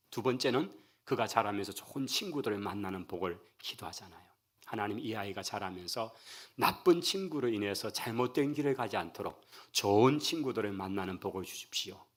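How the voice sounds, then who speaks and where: A man with a Gyeongsang accent, medium pitch and ordinary pitch variation at a moderate pace, in a very clean recording with a silent background. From Daegu, South Korea. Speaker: pastor. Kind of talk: sermon. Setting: church.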